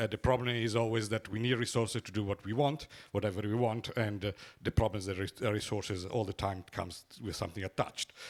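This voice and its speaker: Recorded very cleanly with a silent background, a man talks at a fairly quick pace with fairly even intonation. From Italy. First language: Italian. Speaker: economist, symposium rapporteur. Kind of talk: conference summary talk. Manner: halting, many fillers.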